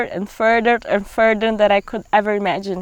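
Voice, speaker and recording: Recorded in a dry, close sound with no echo, a woman with a Brazilian accent speaks at a moderate pace. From Brazil, Pará (Amazon region). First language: Portuguese. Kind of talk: testimony. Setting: outdoors in the forest.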